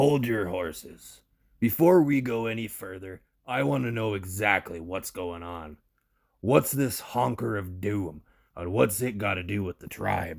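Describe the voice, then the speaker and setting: In a put-on character voice, a man sounds raspy at a fairly low pitch and a moderate pace, on a very clean recording with a silent background. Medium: audio drama. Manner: gruff, blunt, slangy.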